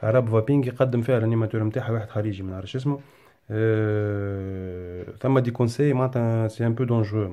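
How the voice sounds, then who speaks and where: With a Tunisian accent, a man speaks in a dark, mellow tone and fairly even intonation. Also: very clean recording, silent background. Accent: Tunisian Arabic with French code-switching. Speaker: YouTuber. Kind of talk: casual vlog monologue. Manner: halting, many fillers.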